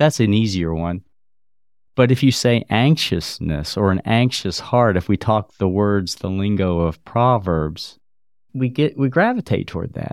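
A man's normal speaking voice, fairly low-pitched, with lively intonation at a fairly slow pace, on a very clean recording with a silent background. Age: 60s. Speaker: family physician and medical missionary. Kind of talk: faith testimony interview.

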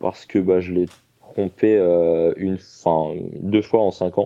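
A man's voice with music in the background. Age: 30s. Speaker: caller to a live dating advice hotline. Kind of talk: personal testimony on a call-in show. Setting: live call-in broadcast on social media. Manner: halting, with many fillers and repetitions.

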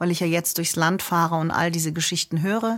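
A woman speaks with fairly even intonation. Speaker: jazz singer and vocal coach. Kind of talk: casual chat.

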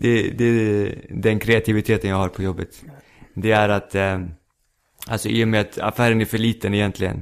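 A man's fairly low voice, flat and monotone, at a moderate pace. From Stockholm suburb (Rinkeby). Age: 20s. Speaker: stand-up comedian. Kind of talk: casual chat. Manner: halting.

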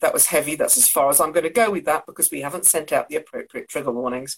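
A woman with an English accent talks at a very fast pace with hardly any pauses. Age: 50s. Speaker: co-host. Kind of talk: casual chat.

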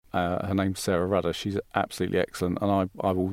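In a British accent, the speaker goes at a fairly quick pace with flat, monotone intonation, recorded very cleanly against a silent background with a dry, close sound and no echo. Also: man. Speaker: business founder. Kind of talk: casual interview.

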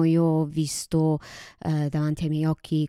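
Speaking at a fairly slow pace, a woman with a very deep, low pitch and a dark, mellow tone is heard in a dry, close, very clean recording with no echo and a silent background. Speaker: podcast co-host. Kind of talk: casual chat.

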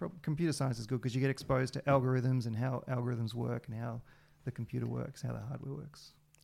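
Talking at a very fast pace with an Australian accent, a man uses a medium pitch, a dark, mellow tone and fairly even intonation. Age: 40s. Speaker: video game programmer and musician. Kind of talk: casual interview.

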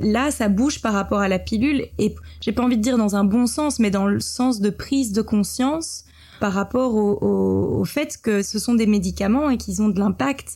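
Her pace is moderate. The woman keeps a very even loudness throughout. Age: 30s. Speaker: entrepreneur and film director. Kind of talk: interview conversation.

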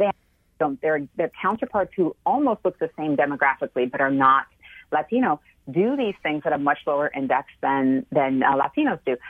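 A woman's very deep, low voice with an American accent, lively in intonation and moderate in pace. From United States, Cuban heritage. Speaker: market research consumer behaviorist. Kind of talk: interview.

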